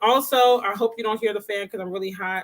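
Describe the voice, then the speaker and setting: A woman's fairly high-pitched voice, very fast and animated, with ordinary pitch variation. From Caribbean family background. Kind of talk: livestream talk.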